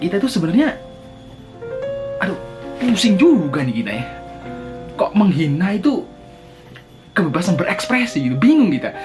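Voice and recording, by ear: Over faint music in the background, a man talks at a moderate pace and a high pitch, with big pitch swings, a slightly mellow tone and long, frequent pauses.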